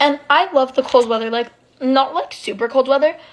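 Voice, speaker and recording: A woman's high-pitched voice with fairly even intonation over noticeable background noise. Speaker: storytime vlogger. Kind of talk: casual chat. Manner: frequent filler 'like'.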